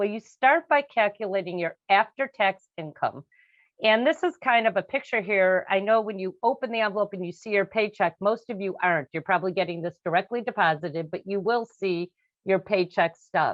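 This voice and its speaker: A woman talks at a fairly quick pace with medium pitch. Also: ordinary pitch variation. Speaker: financial advisor. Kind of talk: webinar presentation. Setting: video webinar. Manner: fast.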